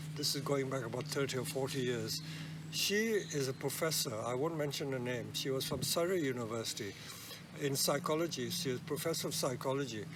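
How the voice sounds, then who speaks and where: Vocal fry runs through speech at a fairly quick pace with ordinary pitch variation and very even loudness. Audible echo fills the room. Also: man, fairly high pitch for a man. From India, Kolkata. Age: 80s+. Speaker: bonsai nursery owner. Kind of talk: interview. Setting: outdoors at a nursery.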